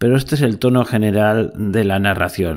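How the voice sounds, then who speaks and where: With an unremarkable speaking voice, a man talks at a fairly low pitch with lively intonation. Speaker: podcast host. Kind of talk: history podcast narration, epic poem reading. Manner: solemn, declamatory; rhythmic, stately, ironic.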